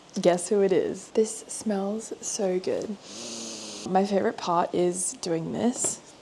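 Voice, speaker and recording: Speaking very slowly with an Australian accent, a woman keeps a medium pitch and fairly even intonation over noticeable background noise. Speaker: vlogger. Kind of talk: casual vlog. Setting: at home, her bedroom.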